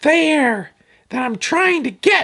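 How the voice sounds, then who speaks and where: This is a cartoonish character voice that sounds female. It sits at a high pitch. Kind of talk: children's educational puppet show. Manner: upbeat, playful.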